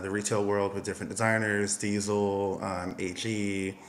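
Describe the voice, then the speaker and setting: Amid audible room echo, a man with an American accent speaks at a moderate pace. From US, Miami, Florida. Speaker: costume designer and stylist. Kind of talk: interview.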